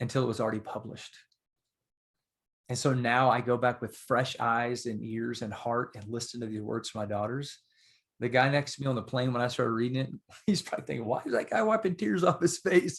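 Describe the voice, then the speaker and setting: Using an unremarkable speaking voice, a man talks at a fairly quick pace in a medium pitch with ordinary pitch variation. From Texas. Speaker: author and father. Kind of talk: podcast interview.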